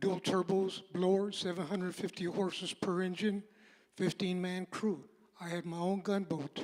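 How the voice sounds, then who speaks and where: A high-pitched male voice at a moderate pace, monotone with flat intonation. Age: 80s+. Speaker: city council candidate. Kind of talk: campaign speech.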